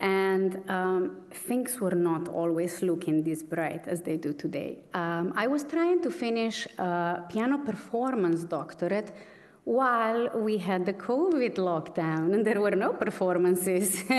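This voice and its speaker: A woman speaks at medium pitch with a strong Slovenian accent, at a fairly slow pace with hardly any pauses. Audible room echo surrounds her voice. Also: ordinary pitch variation, very even loudness. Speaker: pianist, award recipient. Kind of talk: acceptance speech.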